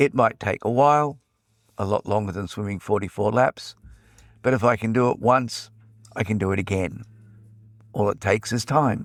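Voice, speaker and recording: Speaking with an Australian accent, a man uses a fairly low pitch and ordinary pitch variation at a moderate pace, leaving long, frequent pauses. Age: old. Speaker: podcast host. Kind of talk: podcast narration. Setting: portable recording.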